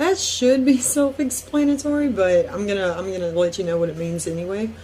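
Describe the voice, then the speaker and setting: With a Southern US accent, a woman talks at a moderate pace and medium pitch. Her pitch swings very widely over noticeable background noise. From US South (Deep South). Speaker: YouTuber. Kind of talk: casual vlog. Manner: hesitant, many fillers.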